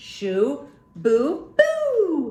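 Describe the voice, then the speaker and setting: This is a put-on character voice. It growls. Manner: growling, scary.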